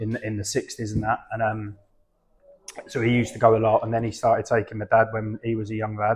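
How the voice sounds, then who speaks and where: Here a man talks at a very fast pace with an Essex accent. His voice sits at a medium pitch, monotone with flat intonation. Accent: southern English (Essex). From Essex, south-east England. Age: 40s. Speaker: football fan guest. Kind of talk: casual podcast chat.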